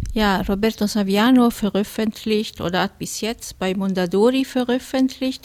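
A woman with an Italian accent speaks at a fairly slow pace with fairly even intonation. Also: very clean recording, silent background. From Italy, Rome. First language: Italian (speaking German). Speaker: retired teacher. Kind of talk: studio interview. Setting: radio studio.

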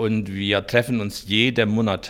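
A man with a Hungarian accent and a fairly low pitch. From rural eastern Hungary. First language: Hungarian (speaking German). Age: 50s. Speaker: innkeeper. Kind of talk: interview.

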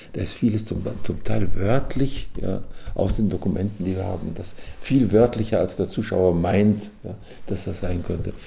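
A man's fairly low-pitched voice at a moderate pace, with fairly even intonation and audible room echo. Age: 80s+. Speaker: retired psychiatrist. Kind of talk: personal account recorded for radio. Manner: halting with fillers.

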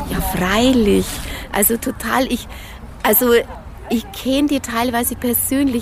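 Over noticeable background noise, a woman with a Bavarian accent speaks in a fairly high pitch at a fairly slow pace, with long, frequent pauses. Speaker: fitness instructor. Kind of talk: interview. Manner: animated.

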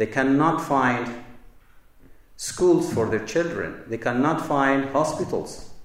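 Someone with a Kurdish accent speaks at a very slow pace with ordinary pitch variation, amid audible room echo and noticeable background noise. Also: man. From Kobani, Syria (Kurdish). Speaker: political delegate. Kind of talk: public speech. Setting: university lecture hall with audience. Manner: formal.

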